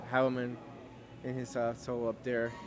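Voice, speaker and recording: A man talks at a fairly slow pace in a medium pitch, with music playing in the background. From Los Angeles, California (Cuban-born, childhood in Costa Rica). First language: Spanish. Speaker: Navy veteran and restaurant owner. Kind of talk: interview.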